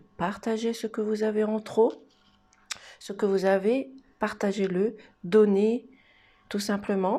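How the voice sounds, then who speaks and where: On a very clean recording with a silent background, a soft-spoken woman talks at a very slow pace and a medium pitch, with a dark, mellow tone and fairly even intonation. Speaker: tarot card reader. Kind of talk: card reading for viewers.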